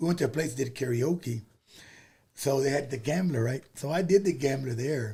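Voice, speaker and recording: A man's somewhat breathy, fairly high-pitched voice with a dark, mellow tone, an American accent, ordinary pitch variation and a moderate pace. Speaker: Tejano singer. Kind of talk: casual chat. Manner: halting.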